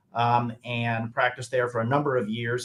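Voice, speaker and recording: The speaker talks at a moderate pace with a slight Southern US accent. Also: man. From US South, northwestern Alabama. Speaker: trial lawyer. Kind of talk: interview. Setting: his office. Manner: hesitant, many fillers.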